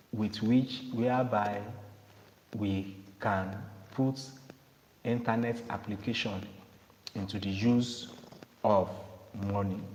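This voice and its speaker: Through audible room echo and noticeable background noise, a man with a fairly low pitch and fairly even intonation talks at a very slow pace with long, frequent pauses. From Nigeria. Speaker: cryptocurrency promoter. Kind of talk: sales pitch.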